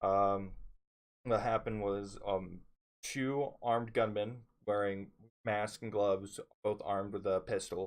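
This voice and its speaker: Speaking at a fairly slow pace, a man uses a monotone, flat intonation at a fairly low pitch. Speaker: store worker. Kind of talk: casual story time talk to camera. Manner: low-voiced at times.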